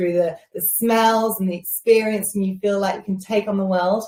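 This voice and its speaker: A woman with an English Midlands accent, medium pitch and somewhat breathy, at a very fast pace with fairly even intonation. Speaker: beauty show host. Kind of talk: live shopping show presentation. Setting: live stream. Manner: casual, with many fillers.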